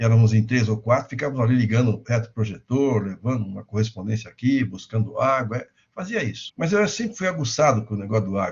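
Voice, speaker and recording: A somewhat breathy man at medium pitch and a fairly quick pace. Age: 60s. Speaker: insurance lecturer. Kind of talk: lecture.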